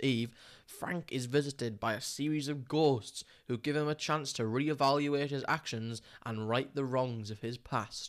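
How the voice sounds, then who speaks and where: In a very clean recording with a silent background, a man of medium pitch speaks with an English accent at a moderate pace and with fairly even intonation. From England. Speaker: film podcast co-host. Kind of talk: casual chat.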